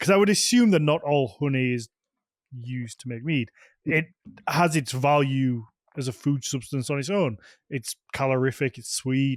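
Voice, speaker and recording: In a Yorkshire accent, a man speaks at a fairly slow pace with long, frequent pauses, in a dry, close sound with no echo. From Yorkshire, England.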